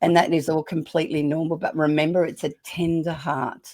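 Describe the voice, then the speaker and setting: A woman with an Australian accent speaks fairly quickly at a very deep, low pitch. Her intonation is monotone and flat, and the recording is very clean with a silent background. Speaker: parenting author. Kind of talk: podcast interview.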